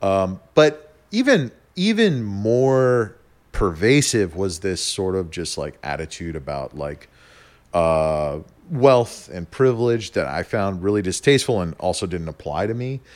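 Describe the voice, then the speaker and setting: With an American accent, this voice swings very widely in pitch at a fairly slow pace, over a very clean recording with a silent background. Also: man, fairly low pitch for a man. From US Southwest, New Mexico. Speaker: podcast guest. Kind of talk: casual chat.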